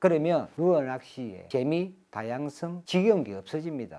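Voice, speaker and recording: Dark, mellow male voice in a very clean recording with a silent background. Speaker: fishing tackle shop owner and instructor. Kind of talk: tutorial monologue. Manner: rising, emphatic voice.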